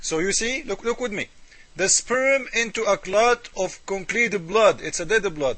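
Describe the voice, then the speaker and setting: A man with an Arabic accent speaks at a fairly slow pace, his high pitch carried by lively intonation. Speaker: religious critic video maker. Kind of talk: polemical commentary. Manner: animated.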